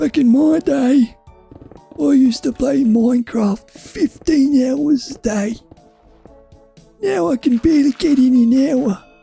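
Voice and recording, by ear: A man's put-on character voice at an extremely high pitch, fairly slow in pace, over faint music in the background.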